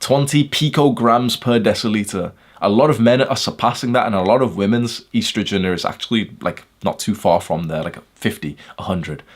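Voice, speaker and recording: A man with a British accent, lively intonation and an animated tone, at a medium pitch and a moderate pace. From UK. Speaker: self-improvement influencer. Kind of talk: monologue talk video. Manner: casual.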